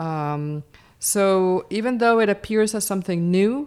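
A woman speaks with a Spanish accent in a very clean recording with a silent background. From Colombia. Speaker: ethnomusicology professor. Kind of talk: interview.

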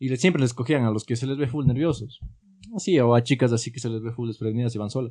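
A dark, mellow tone comes through at a very fast pace. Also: man. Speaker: podcast host. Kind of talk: casual chat among friends.

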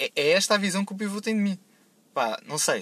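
A man talks with a European Portuguese accent. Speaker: podcast segment contributor. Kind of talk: casual monologue.

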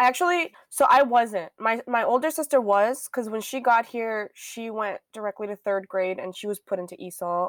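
A woman's fairly high voice with big swings in loudness, lively intonation, a moderate pace and hardly any pauses, in a dry, close sound with no echo. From Miami, Florida. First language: Spanish. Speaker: podcast co-host. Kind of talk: casual chat.

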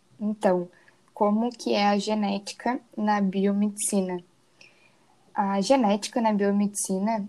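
The voice has a dark, mellow tone, fairly even intonation and a fairly slow pace. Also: woman. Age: 20s. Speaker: biomedicine student. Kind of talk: student presentation, read script.

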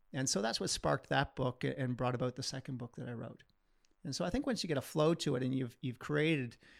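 A man talks very fast at a medium pitch. His voice shows vocal fry. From Kitchener, Ontario, Canada. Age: 40s. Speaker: physiotherapist and author. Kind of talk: casual interview.

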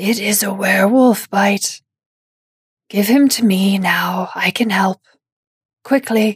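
A woman puts on a raspy character voice at a medium pitch, speaking fairly slowly with long, frequent pauses in a dry, close sound with no echo. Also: fairly even intonation. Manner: urgent, commanding.

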